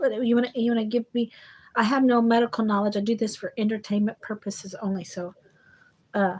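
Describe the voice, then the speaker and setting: A somewhat breathy voice at a fairly quick pace, with fairly even intonation. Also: woman, fairly high pitch for a woman. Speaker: psychic medium. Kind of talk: live psychic reading. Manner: halting, repetitive.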